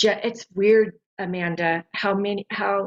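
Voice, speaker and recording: The voice is a normal speaking voice with ordinary pitch variation. It moves at a moderate pace. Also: woman. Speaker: sound healing practitioner. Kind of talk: casual chat.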